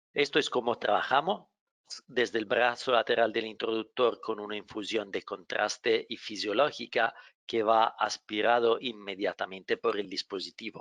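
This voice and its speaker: A man with a non-native accent, medium pitch, fairly even intonation and a moderate pace, in a dry, close sound with no echo. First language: not Spanish (speaking Spanish). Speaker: medical device company representative, webinar moderator. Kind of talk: webinar moderation; product presentation. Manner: halting.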